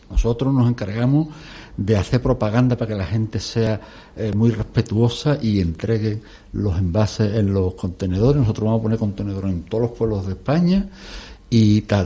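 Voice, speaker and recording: At a moderate pace, a man speaks in a fairly low, dark, mellow voice that is somewhat breathy, with ordinary pitch variation. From Extremadura, Spain, small village. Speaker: environmental activist. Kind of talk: radio discussion.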